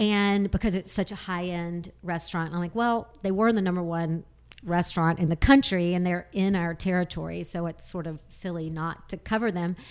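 The speaker has a normal speaking voice and an American accent. The pace is moderate, with fairly even intonation and hardly any pauses. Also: woman, fairly low pitch for a woman. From US South (Alabama). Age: 50s. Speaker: magazine publisher. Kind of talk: casual chat.

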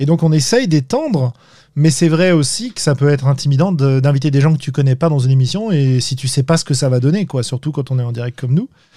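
Very fast speech from a man, fairly high in pitch, somewhat breathy, with a dark, mellow tone and ordinary pitch variation. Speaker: podcast host. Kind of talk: casual interview chat. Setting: live online stream.

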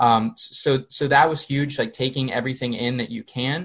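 This man talks at a fairly high pitch, and his voice is somewhat breathy. The background behind him is quiet. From Pennsylvania, small town. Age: 20s. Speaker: sports media founder and communications strategist. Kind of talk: interview. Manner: many fillers and repetitions.

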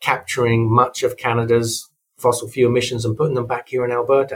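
The man's voice sits at a medium pitch and sounds somewhat breathy. He talks at a fairly quick pace. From Europe. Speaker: university tech-transfer executive. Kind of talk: interview.

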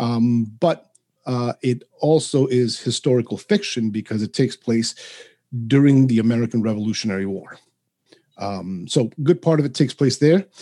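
A dark, mellow voice with a Spanish accent comes through dry and close, with no echo. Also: man, medium pitch for a man, ordinary pitch variation, moderate pace. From New York City. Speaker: author. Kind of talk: casual interview.

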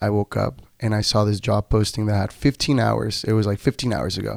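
On a very clean recording with a silent background, a man with a Spanish accent speaks in a dry, close sound with no echo. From Tijuana, Baja California, Mexico. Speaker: brewer and incoming international student. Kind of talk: casual interview chat.

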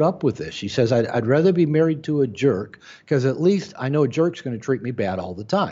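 A man talks at a fairly high pitch with very wide pitch swings. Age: 60s. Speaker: author and therapist. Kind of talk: interview.

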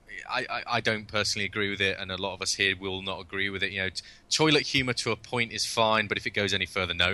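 A man with a British accent, fairly low-pitched, in a bright, sharp tone, at a very fast pace with hardly any pauses, over a quiet background. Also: fairly even intonation. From UK. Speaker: video game director. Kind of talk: interview.

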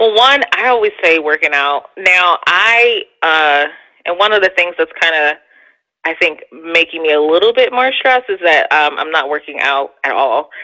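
Speaking at a moderate pace, a woman with a fairly low pitch uses lively intonation in a plain, everyday voice. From US Northeast, Philadelphia. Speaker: therapist and podcaster. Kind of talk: casual interview chat.

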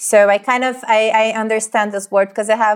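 A woman speaks at a medium pitch with fairly even intonation and a Portuguese accent. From Brazil. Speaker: psychologist. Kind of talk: interview.

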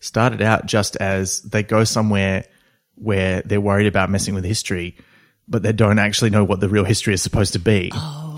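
A man with an Australian accent speaks fairly quickly at a fairly low pitch and with fairly even intonation, captured on a very clean recording with a silent background. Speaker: comedy writer and voice actor. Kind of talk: casual chat.

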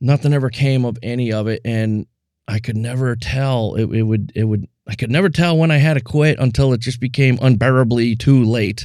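Against a silent background in a very clean recording, a man at medium pitch talks at a fairly quick pace with fairly even intonation. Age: 50s. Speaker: podcast host. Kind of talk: solo monologue.

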